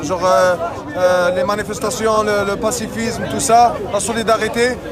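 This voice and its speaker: A high-pitched man at a moderate pace with fairly even intonation, amid audible room echo and crowd noise in the background. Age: 20s. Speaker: university student at a protest. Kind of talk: street interview. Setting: outdoors at a street demonstration. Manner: halting.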